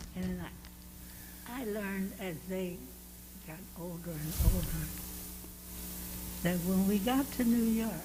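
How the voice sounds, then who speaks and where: A woman speaks at a very slow pace with long, frequent pauses and big swings in loudness. Audible room echo and noticeable background noise fill the recording. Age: 90s. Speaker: church member being interviewed. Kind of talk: interview. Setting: church.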